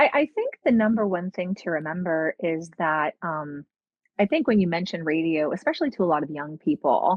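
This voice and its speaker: Here is a woman with a plain, everyday voice, pitched fairly low. Her intonation is lively and her pace moderate. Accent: American. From Pennsylvania, US. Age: 40s. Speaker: radio personality. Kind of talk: podcast interview.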